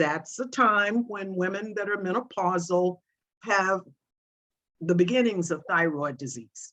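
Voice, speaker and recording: A woman's medium pitch at a fairly slow pace with lively intonation, a plain, everyday voice. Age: 60s. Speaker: brain tumor survivor and patient advocate. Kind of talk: testimony.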